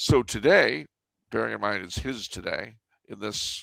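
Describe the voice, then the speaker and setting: Vocal fry in an American accent, on a very clean recording with a silent background. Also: man. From California. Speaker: historian. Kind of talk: interview. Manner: halting.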